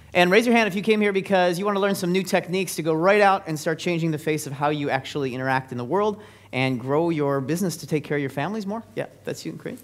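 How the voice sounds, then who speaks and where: Talking at a very fast pace with hardly any pauses, a man uses a high, energetic voice with ordinary pitch variation. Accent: Californian. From US West Coast, San Francisco Bay Area. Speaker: business speaker. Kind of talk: seminar presentation. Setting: stage with audience. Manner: energetic, interactive.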